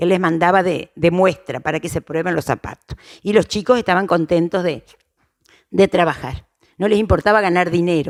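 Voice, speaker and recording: This woman speaks in an Argentine Litoral accent. Her pitch is fairly low. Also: ordinary pitch variation, moderate pace, dry, close sound with no echo. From Argentina, Crespo, Entre Ríos. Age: 60s. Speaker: interviewee, local elder. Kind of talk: oral history interview. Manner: halting, many fillers and restarts.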